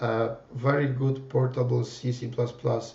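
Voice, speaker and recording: A man's medium-pitched voice with a Polish accent, at a fairly slow pace, with audible room echo. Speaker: PhD student and software developer. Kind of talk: presentation. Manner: halting, many fillers.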